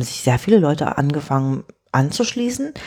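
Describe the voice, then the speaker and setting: A woman with a dark, mellow tone speaks at a moderate pace, her pitch swinging very widely. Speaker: tech podcast co-host. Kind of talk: casual chat.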